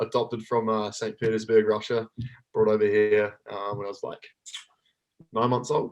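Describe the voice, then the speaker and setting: Speaking at a moderate pace, a man with a medium-pitched voice has a New Zealand accent. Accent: full Kiwi. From New Zealand, East Auckland. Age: 30s. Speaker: athlete and coach. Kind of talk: casual chat.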